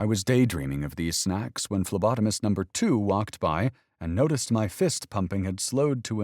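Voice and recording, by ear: The speaker is reading aloud in a natural voice, the intonation lively throughout.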